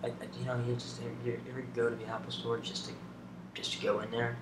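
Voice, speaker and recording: Noticeable background noise sits under a man talking at a fairly quick pace. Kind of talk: ASMR get to know me talk. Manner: whispered, soft-spoken.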